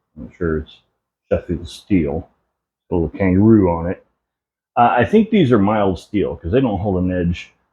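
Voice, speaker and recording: A man speaks at a moderate pace in a fairly low, somewhat breathy voice with a dark, mellow tone and ordinary pitch variation. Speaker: homestead content creator. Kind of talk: behind-the-scenes tutorial vlog. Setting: workshop with lavalier mic, camera at distance. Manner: casual, hesitant with fillers.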